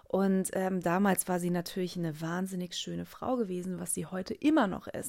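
This woman has a fairly low pitch and fairly even intonation. She speaks at a moderate pace. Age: 20s. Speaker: podcast host and coach. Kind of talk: solo podcast monologue. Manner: hesitant with many fillers.

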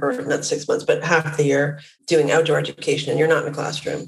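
A woman with a Western Canadian accent. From Vancouver, Canada. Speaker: company founder and CEO. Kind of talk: interview.

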